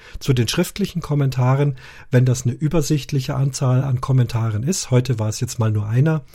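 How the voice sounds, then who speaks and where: A man speaks at a fairly quick pace with a dark, mellow tone and a somewhat breathy quality. The recording is very clean, with a silent background. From Munich, Bavaria. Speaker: podcast host. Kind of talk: casual podcast chat.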